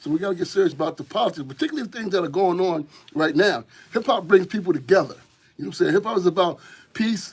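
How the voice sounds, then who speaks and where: Intonation rises and falls in a lively way. The delivery comes at a very fast pace. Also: man, high pitch for a man. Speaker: hip hop community organizer. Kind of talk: radio interview. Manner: animated.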